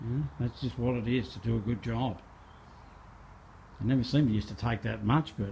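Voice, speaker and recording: Somewhat breathy and dark, mellow in tone, a man talks at a fairly quick pace with a medium pitch and ordinary pitch variation. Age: 60s. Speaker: car restorer and spray painter. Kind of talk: casual workshop vlog narration. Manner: casual, halting with repeats.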